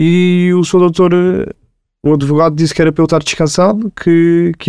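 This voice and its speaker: Fairly high male pitch with a dark, mellow tone. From Portugal, Lisbon (Marvila). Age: 20s. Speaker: prison inmate. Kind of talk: testimony. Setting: studio.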